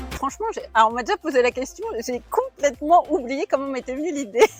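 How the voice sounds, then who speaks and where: Pitched high, a woman's voice makes very wide pitch swings. She talks at a moderate pace. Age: 30s. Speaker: wellbeing-at-work coach. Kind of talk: interview. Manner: casual, hesitant with fillers.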